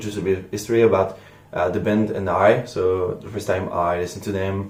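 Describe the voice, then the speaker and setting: A man with a French accent speaks at a fairly quick pace in a fairly low, somewhat breathy voice. Audible room echo surrounds him. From France. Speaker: music reaction youtuber. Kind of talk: casual vlog monologue. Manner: hesitant, many fillers.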